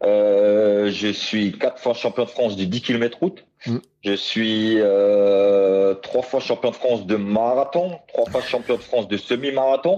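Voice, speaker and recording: A man with a dark, mellow tone and medium pitch speaks at a very slow pace, his loudness very even and his pitch varying in an ordinary way. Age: 30s. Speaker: blind para athlete. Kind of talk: interview. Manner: halting, many repetitions.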